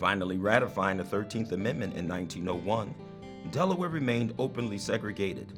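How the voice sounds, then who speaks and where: Music plays in the background as a man talks at a fairly quick pace with a fairly low pitch and lively intonation. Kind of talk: documentary narration.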